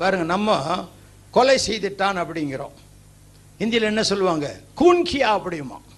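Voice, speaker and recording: A man with a high voice speaks with lively intonation, and the room echo is audible. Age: old. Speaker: preacher. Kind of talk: sermon.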